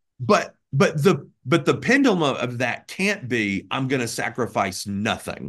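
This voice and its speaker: An American accent comes through at a fairly slow pace with very wide pitch swings. The background is quiet. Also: man, medium pitch for a man, hardly any pauses. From US South, Birmingham, Alabama. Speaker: pastor. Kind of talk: interview conversation.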